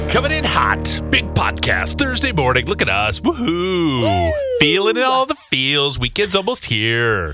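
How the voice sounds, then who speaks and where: Over clear background music, a put-on character voice speaks at a moderate pace in a low-to-middle pitch. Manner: goofy, exaggerated, hyped.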